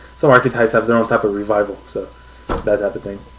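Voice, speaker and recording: Noticeable background noise sits under the recording. Over it, a man talks at a very fast pace. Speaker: card game video reviewer. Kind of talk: unscripted card review video. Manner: halting, with fillers.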